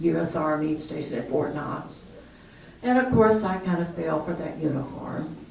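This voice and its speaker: With a Southern US accent, a woman speaks at a moderate pace in a very deep, low pitch with ordinary pitch variation, heard amid audible room echo and noticeable background noise. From US South, southern Kentucky. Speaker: retired police officer. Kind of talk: interview.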